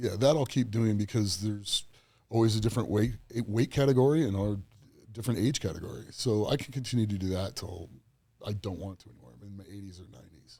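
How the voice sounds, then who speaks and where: With an American accent, a man speaks at a very fast pace in a fairly low, dark, mellow, somewhat breathy voice, showing ordinary pitch variation and big swings in loudness. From US Southwest and California. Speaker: strongman athlete. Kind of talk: casual chat.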